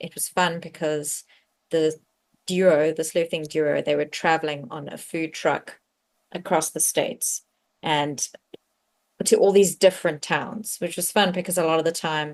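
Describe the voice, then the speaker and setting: A woman's fairly low voice against a quiet background. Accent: South African. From South Africa. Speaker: cozy mystery author. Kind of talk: casual interview chat.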